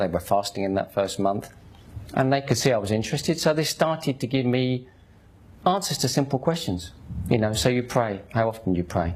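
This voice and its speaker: A man with a Cockney accent, medium-pitched and somewhat breathy, at a fairly quick pace with very wide pitch swings. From London, East End (Hackney). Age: 50s. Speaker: convert telling his story. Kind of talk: testimony. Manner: animated.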